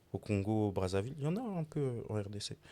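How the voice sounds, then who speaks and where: A man speaks with a dark, mellow tone at a fairly low pitch. The recording is very clean with a silent background. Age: 20s. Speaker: sneaker designer. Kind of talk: casual podcast interview. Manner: calm, measured.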